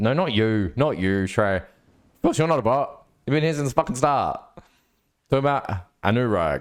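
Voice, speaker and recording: On a very clean recording with a silent background, a man speaks with an Australian accent and lively intonation. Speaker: livestreamer, programmer. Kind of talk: casual live stream chat.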